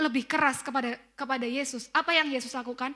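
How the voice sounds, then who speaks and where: A woman speaks in a raised, projected voice with a Central Javanese accent. Her pitch is high and her tone bright and sharp. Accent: Tegal Javanese (ngapak) accent in Indonesian. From Tegal, Central Java, Indonesia. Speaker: preacher. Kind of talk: sermon. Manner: casual conversational.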